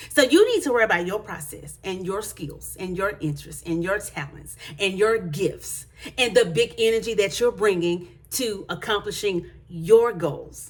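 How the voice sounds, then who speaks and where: A woman speaks at a moderate pace in an animated tone, with ordinary pitch variation and big swings in loudness. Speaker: motivational vlogger. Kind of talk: motivational talk to camera. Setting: hallway at home. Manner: animated, high energy.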